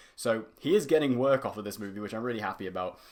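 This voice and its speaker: Speaking very fast in a British accent, a man uses an animated tone, a medium pitch and very wide pitch swings. The recording is very clean, with a silent background. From UK. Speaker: YouTube film reviewer. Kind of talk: casual monologue video.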